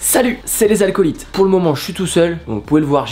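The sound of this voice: A woman uses a put-on character voice, hoarse and raspy, at a fairly low pitch with very wide pitch swings. She talks at a fairly quick pace as music plays in the background.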